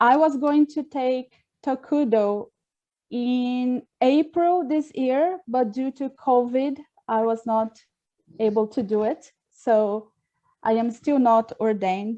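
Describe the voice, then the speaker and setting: A woman with a Portuguese accent speaks at a very slow pace. Her voice is high, with a dark, mellow tone and ordinary pitch variation. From Brazil. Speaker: Buddhist minister trainee. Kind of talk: online dialogue introduction.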